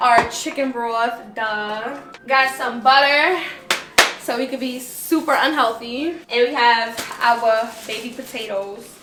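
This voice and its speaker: Over noticeable background noise, a woman speaks at a very slow pace. Her voice is high, with fairly even intonation. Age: 20s. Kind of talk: casual cooking vlog talk to camera. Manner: casual, chatty.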